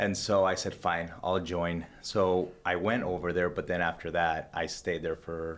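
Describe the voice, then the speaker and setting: A man with a slight Honduran accent talks at a fairly slow pace with a very deep, low pitch and monotone, flat intonation. He leaves hardly any pauses, on a very clean recording with a silent background. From Honduras. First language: Spanish. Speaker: businessman. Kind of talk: casual interview. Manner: halting, many fillers and restarts.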